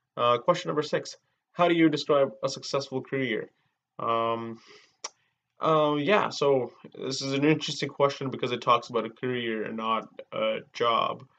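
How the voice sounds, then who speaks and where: Bright and sharp in tone, a man's voice sits at a fairly high pitch with ordinary variation. He speaks at a moderate pace. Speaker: student. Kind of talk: mock job interview answers. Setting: self-recorded video. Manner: halting, stammering with many fillers.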